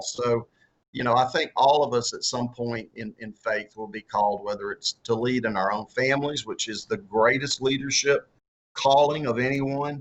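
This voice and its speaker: Someone speaks at a moderate pace in a strong Southern US accent, with ordinary pitch variation. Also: man. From US South. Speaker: author and former political candidate. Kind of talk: interview. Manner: halting, many repeated words and fillers.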